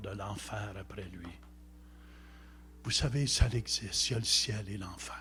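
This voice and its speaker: A man with a fairly low pitch and a bright, sharp tone speaks very slowly, with vocal fry and ordinary pitch variation. Audible room echo surrounds his voice. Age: 70s. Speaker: visiting preacher. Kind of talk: sermon.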